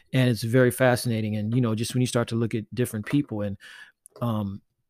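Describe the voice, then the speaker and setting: Over a silent background in a very clean recording, a man speaks with monotone, flat intonation. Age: 50s. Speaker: podcast host and artist. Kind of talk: casual solo monologue. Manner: halting, many fillers.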